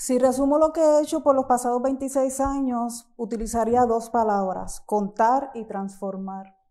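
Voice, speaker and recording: A woman speaks at a moderate pace in a high pitch with a dark, mellow tone and hardly any pauses. Her pitch variation is ordinary and the background is quiet. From Puerto Rico, Caguas; Puerto Rico. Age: 50. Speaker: visual artist. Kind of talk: lecture. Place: hall.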